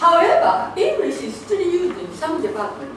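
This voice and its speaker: A woman with a Japanese accent speaks at a fairly slow pace with very wide pitch swings, amid noticeable background noise and audible room echo. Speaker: researcher. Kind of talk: conference presentation. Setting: conference with audience. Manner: hesitant, many fillers.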